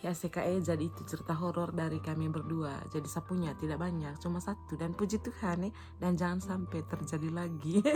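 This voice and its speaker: A woman speaks with a Manggarai accent. She goes at a fairly quick pace with hardly any pauses. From Ruteng, Manggarai, Flores, East Nusa Tenggara, Indonesia. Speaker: vlogger. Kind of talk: casual chat. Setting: home video, no microphone.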